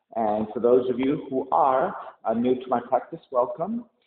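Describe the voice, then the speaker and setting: At a moderate pace, a man talks with audible room echo and light background noise. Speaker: yoga teacher. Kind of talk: class introduction. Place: gym. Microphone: camera far.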